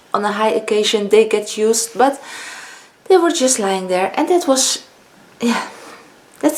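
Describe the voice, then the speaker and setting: Against noticeable background noise, a woman with a Dutch accent and a fairly high pitch speaks at a moderate pace with lively intonation and long, frequent pauses. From Netherlands. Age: 50s. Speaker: beauty vlogger. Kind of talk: casual vlog talk. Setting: home, filming with ring light.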